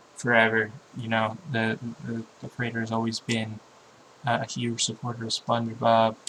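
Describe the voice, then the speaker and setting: Monotone, flat intonation from a man at medium pitch, with noticeable background noise. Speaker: YouTube commentator. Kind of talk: casual vlog monologue. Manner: halting, many fillers and repetitions.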